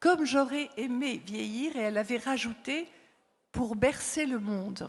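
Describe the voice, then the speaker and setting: A woman talks at a very slow pace. Her high-pitched voice carries lively intonation. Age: 70s. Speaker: psychologist and author, former palliative care worker. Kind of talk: conference talk. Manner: hesitant, many fillers.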